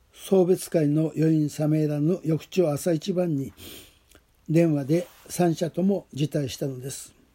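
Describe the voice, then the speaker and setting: The voice has a dark, mellow tone. It moves at a fairly slow pace with fairly even intonation. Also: man, fairly high pitch for a man. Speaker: pastor. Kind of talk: testimony.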